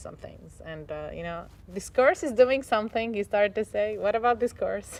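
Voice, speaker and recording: A woman speaks with an Arabic accent at a moderate pace. Her pitch rises and falls in an ordinary way. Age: 20s. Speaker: English teacher. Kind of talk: personal testimony interview. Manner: halting, with fillers and self-corrections.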